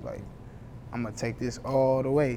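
This is a man with an American accent. Noticeable background noise sits behind him. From Columbus, Ohio. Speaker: rapper. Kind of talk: interview. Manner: casual, slangy.

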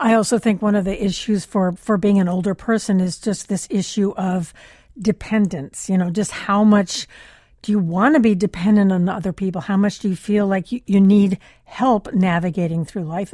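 In a very clean recording with a silent background, a somewhat breathy woman with an American accent speaks at a moderate pace and medium pitch, her tone dark and mellow with ordinary pitch variation. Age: 70s. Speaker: radio host. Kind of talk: radio interview. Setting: studio.

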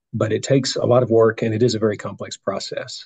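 Speaking at a very fast pace, a man sounds somewhat breathy, with a dark, mellow tone and monotone, flat intonation. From Nashville, Tennessee. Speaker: judicial candidate, trial attorney. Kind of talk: interview.

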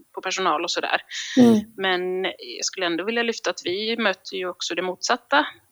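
A woman with a normal speaking voice talks at a moderate pace, at a medium pitch with ordinary pitch variation. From Gotland (Visby). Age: 30s. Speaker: general practitioner. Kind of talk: casual interview.

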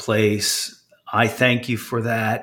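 This man speaks at medium pitch with fairly even intonation. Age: 50s. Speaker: podcast host and finance company co-founder. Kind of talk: interview. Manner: halting, many fillers.

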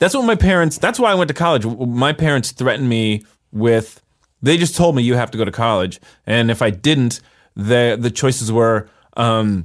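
A man with an American accent and a plain, everyday voice, at a moderate pace with lively intonation and a quiet background. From San Jose, California suburbs. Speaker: comedian and podcast co-host. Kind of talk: casual chat.

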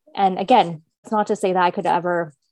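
A plain, everyday voice from a woman with a Canadian accent, medium in pitch, fairly quick, with fairly even intonation and a dry, close sound with no echo. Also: quiet background. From Canada, Kingston, Ontario. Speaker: entrepreneur. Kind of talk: interview.

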